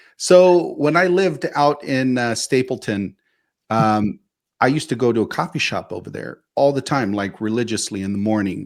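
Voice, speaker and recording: In a very clean recording with a silent background, a man with a plain, everyday voice speaks at medium pitch and a moderate pace, his intonation lively. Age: 50s. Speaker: podcast co-host. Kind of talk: casual chat.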